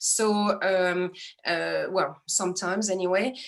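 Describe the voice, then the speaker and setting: Spoken with a French accent, the delivery keeps a fairly even intonation. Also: woman. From France, Strasbourg area. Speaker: astrologer. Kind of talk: interview.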